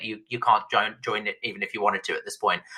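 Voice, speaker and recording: Animated in tone, a man rattles along at a very fast pace. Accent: British. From Britain. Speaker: author and former tech journalist. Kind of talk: podcast interview. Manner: animated, with frequent repetitions and restarts.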